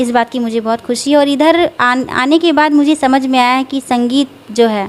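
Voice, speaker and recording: Her high-pitched voice carries fairly even intonation as the woman speaks. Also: moderate pace. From Singrauli, Madhya Pradesh, India. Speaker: singer. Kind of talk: interview answer.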